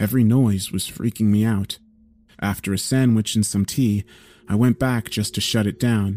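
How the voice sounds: A reading voice that sounds natural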